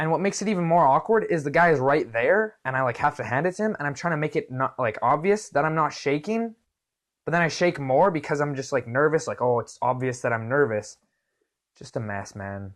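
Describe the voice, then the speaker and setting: A man with a Canadian accent, fairly high-pitched, animated in tone and lively in intonation, at a fairly quick pace against a quiet background. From Canada. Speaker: vlogger. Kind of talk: casual storytelling vlog. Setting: video recorded to camera.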